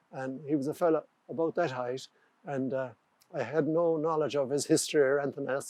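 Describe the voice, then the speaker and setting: With an Irish accent, a man speaks at a fairly quick pace in a dark, mellow tone. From Ireland. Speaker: carpenter and joiner. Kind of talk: interview answer.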